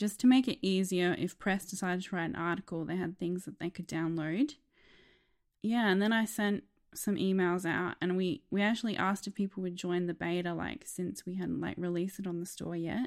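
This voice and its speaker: Someone with an Australian accent speaks at a fairly quick pace with ordinary pitch variation. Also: woman, medium pitch for a woman, very clean recording, silent background. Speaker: app designer. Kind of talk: casual interview.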